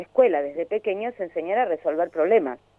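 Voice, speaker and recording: A woman with a Rioplatense accent. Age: 60s. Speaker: educator and social psychologist. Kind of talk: interview. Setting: phone call. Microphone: phone.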